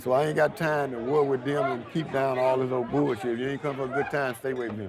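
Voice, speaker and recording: Over crowd noise and audible room echo, a man with a Mississippi accent talks very fast at a medium pitch with ordinary pitch variation. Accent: Southern US, Mississippi. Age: 70s. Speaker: juke joint owner. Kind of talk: casual interview.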